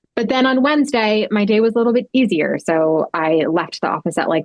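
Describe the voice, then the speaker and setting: With music playing behind it, the voice moves at a fairly quick pace with lively intonation. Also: woman. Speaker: lifestyle influencer and fashion brand founder. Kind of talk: podcast interview. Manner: halting, self-admitted stuttering.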